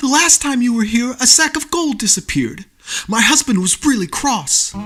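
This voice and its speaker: The man's put-on character voice sits extremely high in pitch. He talks at a moderate speed. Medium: read story.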